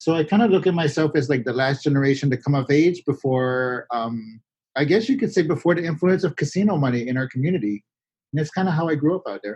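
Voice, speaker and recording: A man with a Florida accent, fairly high-pitched, dark and mellow in tone, with lively intonation. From Miccosukee Reservation, Everglades, Florida. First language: Miccosukee. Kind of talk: interview. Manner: casual, many filler words.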